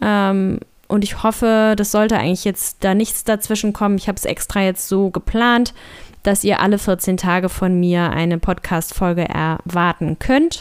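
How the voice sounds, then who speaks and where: Here a woman speaks in an unremarkable speaking voice at a medium pitch. Her pace is moderate and her pitch variation ordinary. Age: 30s. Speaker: podcaster and blogger. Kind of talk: solo podcast monologue.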